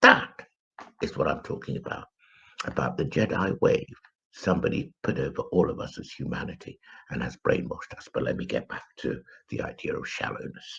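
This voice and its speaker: A man with an English accent, fairly quick pace, long and frequent pauses, and big swings in loudness. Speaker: spiritual commentator. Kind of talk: live stream monologue. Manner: hesitant, with fillers.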